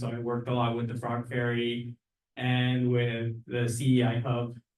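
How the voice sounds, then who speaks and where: A man speaks at a medium pitch. Room echo is audible. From Mexico. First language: Spanish. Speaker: neighborhood association board member. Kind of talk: candidate speech at community meeting.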